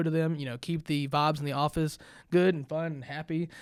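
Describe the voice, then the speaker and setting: A man's fairly high voice at a very fast pace with fairly even intonation. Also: very clean recording, silent background. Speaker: trucking operations manager. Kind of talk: casual interview. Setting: podcast room. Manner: loud.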